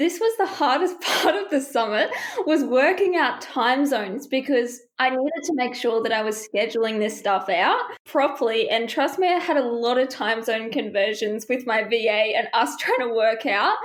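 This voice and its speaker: A woman with an Australian accent, high pitch, lively intonation and very even loudness. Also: moderate pace. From Australia, Brisbane. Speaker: small business owner, first-time summit host. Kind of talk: podcast interview.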